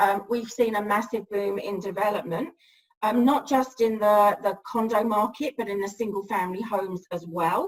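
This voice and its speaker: A woman speaks in an English accent. Her pitch is fairly high with ordinary variation. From England. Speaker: real estate broker. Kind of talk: interview. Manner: hesitant, many fillers.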